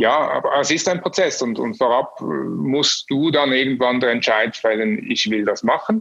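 An ordinary speaking voice from a man, medium in pitch, with lively intonation, very even loudness, a fairly slow pace and hardly any pauses. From Switzerland. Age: 40s. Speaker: agency owner. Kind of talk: interview. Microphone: poor sound quality.

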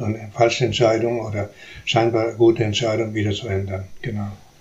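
With a Spanish accent, a man talks at a fairly quick pace in a monotone, flat delivery. Noticeable background noise runs underneath. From Uruguay. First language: Spanish (speaking German). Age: 70s. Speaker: philosophy professor. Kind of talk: interview. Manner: halting.

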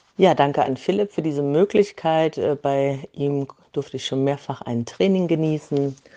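At a moderate pace, a woman speaks with a dark, mellow tone, very deep, low pitch and ordinary pitch variation. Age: 40s. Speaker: yoga teacher. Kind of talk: voice message.

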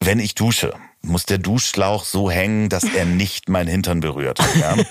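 A man with a very deep, low voice speaks at a very slow pace, taking long, frequent pauses. His loudness stays very even, and his pitch varies in an ordinary way. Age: 40s. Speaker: podcast host and producer. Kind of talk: casual chat. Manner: hesitant, many fillers.

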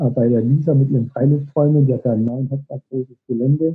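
Speaking at a moderate pace, a man with an unremarkable speaking voice shows ordinary pitch variation. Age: 40s. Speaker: motivational coach and author. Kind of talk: interview.

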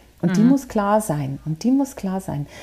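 A woman speaks at a moderate pace in a medium-pitched voice that is somewhat breathy, with a dark, mellow tone. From Bavaria. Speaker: career coach. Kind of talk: interview.

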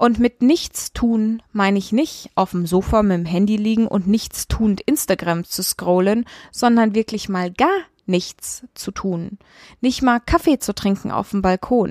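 A woman with a medium pitch and ordinary pitch variation speaks fairly slowly, recorded dry and close with no echo against a silent, very clean background. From Kenya. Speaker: podcast host and coach. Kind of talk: solo podcast monologue. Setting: outdoors in Goa, India.

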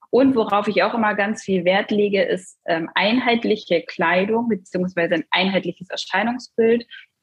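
Using a normal speaking voice, a woman speaks at medium pitch and moderate pace with ordinary pitch variation and very even loudness. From northern Germany, Cuxhaven district. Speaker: dental billing consultant and coach. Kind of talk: podcast interview.

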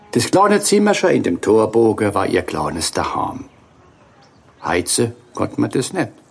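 A man speaks with a Palatine accent. Noticeable background noise runs under his voice. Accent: Kurpfälzisch dialect. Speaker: storyteller. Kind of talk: dialect storytelling.

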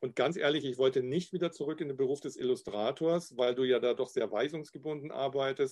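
A man with a fairly high pitch, a plain, everyday voice, a fairly quick pace and fairly even intonation. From Upper Bavaria, Garmisch-Partenkirchen. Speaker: graphic designer and illustrator. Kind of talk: casual interview.

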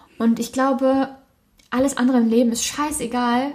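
Fairly high and fairly even in intonation, a woman talks in a normal speaking voice. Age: 20s. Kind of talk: casual chat.

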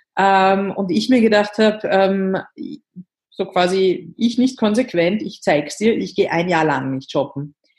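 With a Viennese accent, a woman speaks at a very slow pace, her lively intonation broken by long, frequent pauses. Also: medium pitch for a woman. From Austria, Vienna. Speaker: author and activist. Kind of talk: interview. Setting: remote call from bed.

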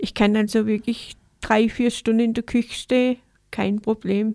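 The voice has a dark, mellow tone and monotone, flat intonation, moving at a fairly slow pace in a dry, close sound with no echo. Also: woman. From Baden-Württemberg, Enzkreis (Königsbach). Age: 50s. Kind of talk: interview. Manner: halting.

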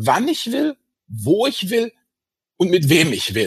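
At a very slow pace, a man speaks with a high pitch in a dry, close sound with no echo. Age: 50s. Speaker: finance blogger and author. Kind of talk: interview. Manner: hesitant with many fillers.

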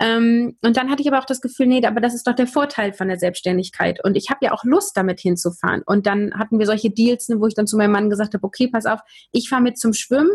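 A woman with a fairly high pitch talks at a very fast pace, with hardly any pauses. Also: ordinary pitch variation. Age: 30s. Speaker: communication trainer and podcaster. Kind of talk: interview.

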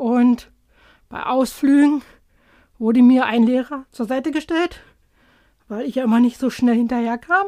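A woman speaks at a high pitch in a dark, mellow tone. Long, frequent pauses break up her speech. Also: ordinary pitch variation, fairly slow pace. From Saxony-Anhalt, eastern Germany. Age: 40s. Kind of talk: interview.

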